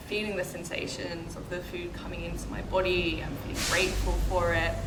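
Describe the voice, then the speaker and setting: Against noticeable background noise, a woman speaks at a fairly slow pace. Her pitch is fairly low. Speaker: yoga and meditation teacher. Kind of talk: meditation lesson.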